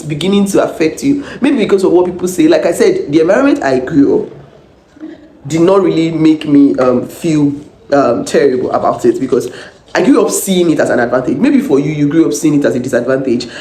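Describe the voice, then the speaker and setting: A woman talks at a fairly quick pace with very wide pitch swings and an animated tone. Background noise is noticeable, and the room echo is audible. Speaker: vlogger and minister. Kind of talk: casual vlog with encouragement.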